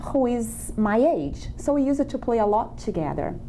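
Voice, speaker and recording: A woman speaks at a high pitch in a Brazilian accent. Audible room echo and noticeable background noise surround her voice. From Brazil, small countryside town. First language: Portuguese. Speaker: immigrant guest. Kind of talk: interview.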